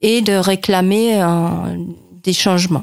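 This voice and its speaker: A woman speaks at a very slow pace with fairly even intonation, in a very clean recording with a silent background and a dry, close sound with no echo. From West Germany. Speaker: German teacher. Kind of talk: radio interview.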